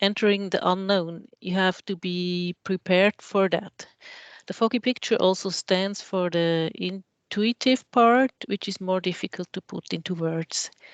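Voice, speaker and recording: Speech comes at a very slow pace with fairly even intonation, in a dry, close sound with no echo over a quiet background. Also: woman. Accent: Swiss German. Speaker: architect. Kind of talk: lecture.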